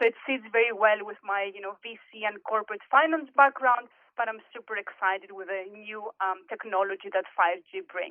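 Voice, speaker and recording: With a Greek accent, a woman talks at fairly high pitch and a moderate pace with hardly any pauses, ordinary pitch variation and big swings in loudness. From Greece, Athens. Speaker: corporate executive and board director. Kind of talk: podcast interview.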